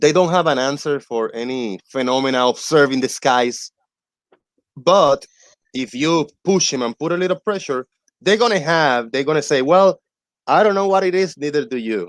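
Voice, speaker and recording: A man with a non-native accent speaks at a moderate pace and fairly high pitch, with lively intonation, on a very clean, dry, close recording with a silent background and no echo. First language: not English. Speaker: debunker of flat earth claims. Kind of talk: casual chat.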